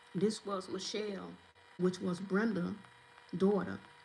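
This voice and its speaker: Noticeable background noise runs under this recording. A woman speaks at a moderate pace with a medium pitch. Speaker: vlogger. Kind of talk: casual storytelling vlog. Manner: hesitant, many fillers.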